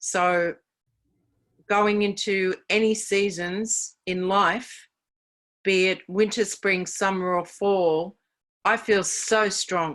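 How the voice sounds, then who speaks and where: A woman speaks at a very slow pace, with long, frequent pauses. Her intonation is monotone and flat. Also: medium pitch for a woman. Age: 60s. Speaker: network marketing distributor. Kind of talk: sales pitch.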